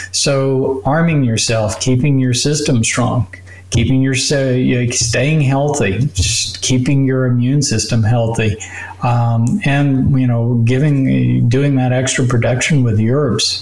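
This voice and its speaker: A man speaks very slowly in a medium pitch with ordinary pitch variation and very even loudness. Background noise is noticeable. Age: 60s. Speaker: doctor. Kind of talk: interview explaining medical topics.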